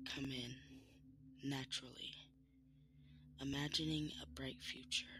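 In a soothing, calm tone, a man speaks at a fairly slow pace with long, frequent pauses. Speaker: meditation guide. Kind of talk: guided meditation. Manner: slow, soothing and calm, with long pauses between gentle instructions; soft-spoken and reassuring.

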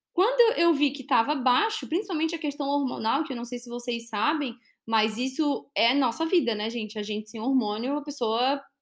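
The recording is very clean, with a silent background. A woman speaks at a high pitch and a moderate pace, her intonation lively. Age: 20s. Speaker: financial educator and podcast host. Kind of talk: solo podcast monologue.

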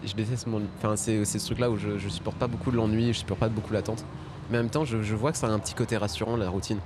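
Amid noticeable background noise and audible room echo, a man speaks very fast at a fairly low pitch with fairly even intonation. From France, Paris. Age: 20s. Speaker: stand-up comedian and podcast host. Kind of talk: casual chat. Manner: hesitant, many repetitions.

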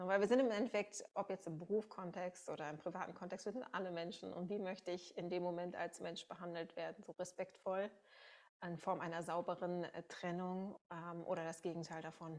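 Fairly low in pitch, a woman talks at a moderate pace with fairly even intonation in a normal speaking voice. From Münsterland, Germany. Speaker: podcast host. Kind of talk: podcast interview.

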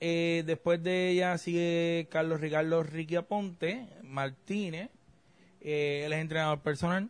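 At a high pitch, a man talks at a fairly slow pace with fairly even intonation. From Puerto Rico. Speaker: political scientist podcast host. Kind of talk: casual chat.

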